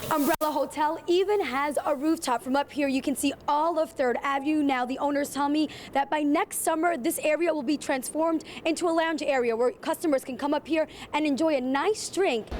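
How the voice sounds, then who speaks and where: A high-pitched woman's voice at a fairly quick pace, with ordinary pitch variation and noticeable background noise. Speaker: TV news reporter. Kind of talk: TV news reporter stand-up and package narration.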